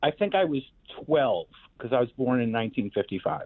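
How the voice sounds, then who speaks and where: The speaker talks with a New York accent. The pace is moderate. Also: man. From New York, Queens. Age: 60s. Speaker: host's father, guest. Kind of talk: storytelling.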